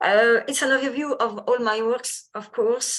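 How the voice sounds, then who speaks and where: A woman speaks in a Parisian accent. Her pitch shows ordinary variation. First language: French. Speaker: sports scientist. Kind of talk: lecture. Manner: halting.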